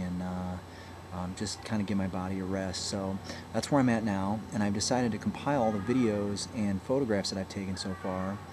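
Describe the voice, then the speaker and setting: Noticeable background noise sits behind the voice. A man speaks at a fairly quick pace with a fairly low pitch. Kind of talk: casual vlog chat. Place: home room. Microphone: webcam.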